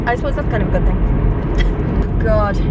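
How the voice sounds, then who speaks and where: Loud background noise surrounds a woman's voice, recorded dry with no echo. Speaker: vlogger. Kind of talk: casual vlog chat. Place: car. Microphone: camera far.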